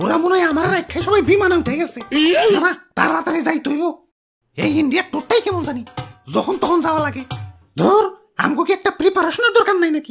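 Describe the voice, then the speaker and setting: A cartoonish character voice at an extremely high pitch and fairly quick pace, with faint music in the background. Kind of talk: comic cartoon voice acting. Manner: hurried, scornful, self-important.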